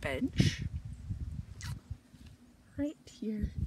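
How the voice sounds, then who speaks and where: A woman speaks at a very slow pace with ordinary pitch variation, in a dry recording with no echo but noticeable background noise. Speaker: hiker vlogger. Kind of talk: casual vlog chat. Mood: cheerful, proud. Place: forest. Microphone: phone near.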